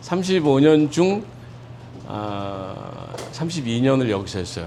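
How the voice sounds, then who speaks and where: Audible room echo and noticeable background noise surround speech at a fairly slow pace. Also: man. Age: 60s. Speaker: pastor. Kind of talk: lecture. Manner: informal, with many fillers.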